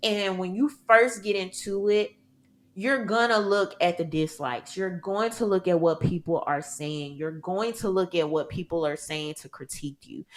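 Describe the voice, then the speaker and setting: At a moderate pace, a woman with a Southern US accent speaks at medium pitch in an animated tone with lively intonation. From US South, Mississippi. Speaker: content creator and gun rights advocate. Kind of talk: podcast interview.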